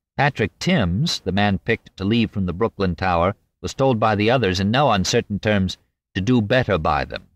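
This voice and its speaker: In a normal speaking voice, a man talks at a moderate pace with lively intonation, the sound dry and close with no echo. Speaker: audiobook narrator. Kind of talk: audiobook reading of narrative history, dramatic narration. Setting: studio. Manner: measured, formal; vivid, suspenseful storytelling.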